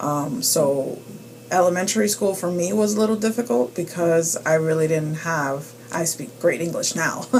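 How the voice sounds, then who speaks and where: A woman's fairly low voice with lively intonation at a moderate pace, over noticeable background noise. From New York, US (born Dominican Republic). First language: Spanish. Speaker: immigrant interviewee, parent. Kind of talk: interview for school class. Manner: hesitant, many ums.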